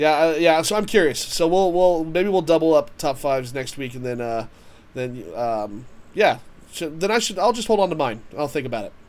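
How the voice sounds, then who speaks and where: Pitch swings very widely as a man talks in a fairly high register. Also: moderate pace. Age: 30s. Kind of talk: casual chat.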